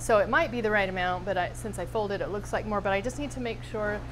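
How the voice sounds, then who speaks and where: A woman speaks at a very fast pace. Music plays in the background. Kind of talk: interview answer. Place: kitchen.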